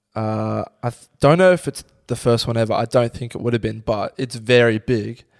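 In an Australian accent, a man talks at a moderate pace and medium pitch, recorded with a dry, close sound and no echo. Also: ordinary pitch variation. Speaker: podcast co-host. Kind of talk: casual chat. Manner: laughs a lot.

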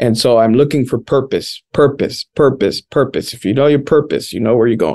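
A man speaks in a Spanish accent at a moderate pace, with ordinary pitch variation. The sound is dry and close, with no echo. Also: quiet background. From Washington, D.C. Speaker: pastor. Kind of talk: casual chat.

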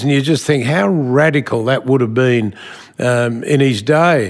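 Ordinary pitch variation, with an Australian accent. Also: man. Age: 70s. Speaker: business executive. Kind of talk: interview.

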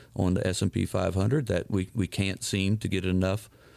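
A very deep, low male voice at a moderate pace, in a very clean recording with a silent background. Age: 40s. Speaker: financial advisor, radio show host. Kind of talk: financial advice radio talk.

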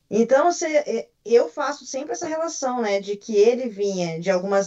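A woman with an ordinary speaking voice talks at a fairly slow pace and a fairly high pitch. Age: 40s. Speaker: tech professional. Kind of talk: interview testimony.

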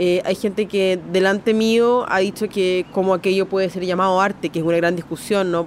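Here a woman has an ordinary speaking voice at a medium pitch. She talks at a moderate pace. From Chile. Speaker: artist. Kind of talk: interview testimony.

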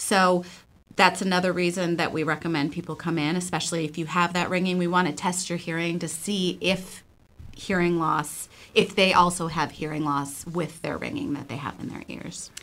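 A woman speaks in a normal speaking voice at a moderate pace. Her pitch is fairly low and her intonation fairly even. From Buffalo, New York. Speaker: audiologist. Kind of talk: radio interview.

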